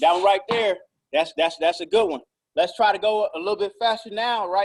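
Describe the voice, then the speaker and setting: A man talks at a fairly quick pace in a high-pitched voice. His tone is energetic and his pitch variation ordinary. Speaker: basketball coach. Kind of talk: online workout instruction. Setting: video call. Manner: loud.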